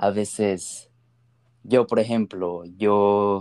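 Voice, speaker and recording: A man speaks in a fairly low pitch with a dark, mellow tone. The recording is very clean with a silent background, and the sound is dry and close with no echo. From US-born, grew up in Ecuador. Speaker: podcast host. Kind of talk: casual chat.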